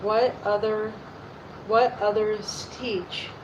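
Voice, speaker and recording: A woman talks at a very slow pace, with audible room echo and noticeable background noise around her. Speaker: YouTuber reading aloud. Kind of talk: reading aloud. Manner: halting, rereading lines.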